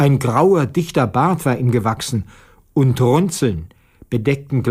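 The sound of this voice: Lively intonation from an unforced reading voice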